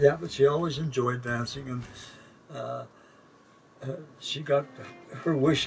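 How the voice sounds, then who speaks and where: Music plays in the background as a man speaks at a moderate pace with fairly even intonation. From Winnipeg, Canada. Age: 80s+. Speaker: former vaudeville performer. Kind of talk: interview answer. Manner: hesitant, halting.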